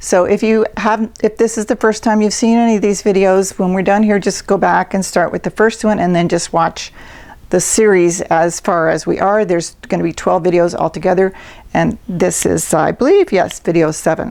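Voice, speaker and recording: Speaking at a moderate pace in a normal speaking voice, a woman keeps a medium pitch, very even loudness and fairly even intonation. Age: 60s. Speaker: self-help video host. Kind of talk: motivational talk to camera. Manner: casual, conversational.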